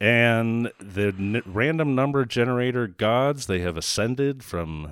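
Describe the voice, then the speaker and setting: A man speaks with lively intonation. He has an unremarkable speaking voice. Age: 40s. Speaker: film critic podcast host. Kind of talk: casual chat.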